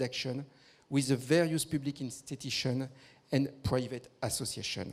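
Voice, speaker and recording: Fairly even intonation from a man, moderately paced. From France. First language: French. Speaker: victim support organisation leader. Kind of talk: conference presentation. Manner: formal.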